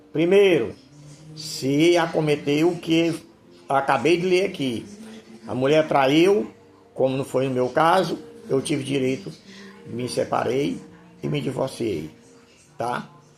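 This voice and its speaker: A man speaks very slowly in a fairly high pitch, with long, frequent pauses. Room echo and background noise are both noticeable. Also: ordinary pitch variation. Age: 70s. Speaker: pastor. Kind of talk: sermon. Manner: informal, repetitive.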